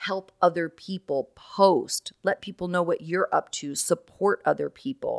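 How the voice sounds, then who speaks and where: A woman with a croaky voice speaks in an animated tone at a moderate pace. The sound is dry and close, with no echo. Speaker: podcast host and recovery life coach. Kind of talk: solo podcast talk.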